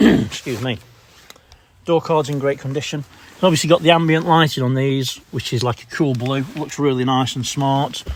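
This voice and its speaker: Speaking at a fairly quick pace with a Derbyshire accent, a man uses a fairly high pitch over noticeable background noise. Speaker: car salesman. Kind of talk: product walkaround video. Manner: casual, slightly stumbling.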